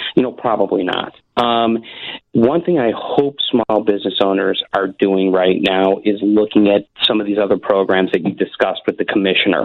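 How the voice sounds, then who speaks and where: This man has a plain, everyday voice, pitched fairly low. His intonation is fairly even and his pace moderate. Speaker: small business advocate. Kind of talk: radio interview.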